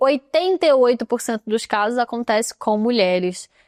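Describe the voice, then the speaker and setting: A woman with an unremarkable speaking voice talks at a fairly slow pace with ordinary pitch variation, in a very clean, dry, close recording with a silent background and no echo. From Brazil, Rio de Janeiro suburbs (São Gonçalo). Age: 30s. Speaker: podcast host, therapist and artist. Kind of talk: personal testimony podcast. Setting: videocast. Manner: casual conversational.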